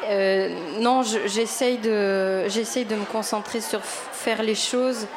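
A woman's fairly high voice, monotone and flat, at a very slow pace and very even loudness, with audible room echo and noticeable background noise. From Quebec. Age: 30s. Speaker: YouTuber and actress. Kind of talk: interview. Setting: live radio broadcast from a venue with audience. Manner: hesitant.

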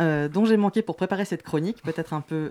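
A woman's voice comes through dry and close with no echo, against noticeable background noise. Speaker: radio columnist. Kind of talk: scripted column. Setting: studio.

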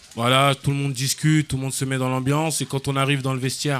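A man with a medium pitch talks at a fairly quick pace in a monotone, flat intonation. Noticeable background noise sits behind him. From France, Paris and Seine-Saint-Denis suburbs. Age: 20s. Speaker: football coach. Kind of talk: radio interview. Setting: live outdoor event broadcast.

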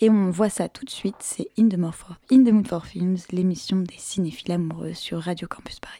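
A woman's somewhat breathy, dark, mellow voice at a medium pitch and moderate pace, with ordinary pitch variation and hardly any pauses. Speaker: radio host. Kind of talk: radio show. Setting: studio.

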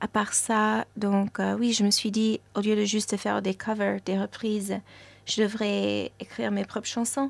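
Fairly slow speech from a woman, dry and close-miked with no echo. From New York, US. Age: young. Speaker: musician. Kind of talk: interview. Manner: hesitant, many fillers.

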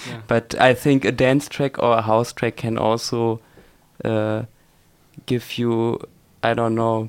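Speaking fairly slowly at a medium pitch, a man talks with a German accent. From Germany, Hanover. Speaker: electronic music producer. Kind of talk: radio interview. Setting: radio studio.

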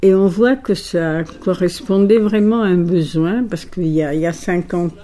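A woman's fairly low voice with an Italian accent, very slow delivery, and noticeable background noise. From Egypt (Alexandria), Greek family. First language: Italian (speaking French). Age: 80s+. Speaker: poetry club owner. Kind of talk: interview.

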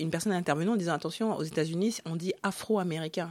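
This woman has a plain, everyday voice with a fairly low pitch and ordinary pitch variation. The recording is very clean, with a silent background. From Africa (Congo). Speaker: author. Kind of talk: radio interview.

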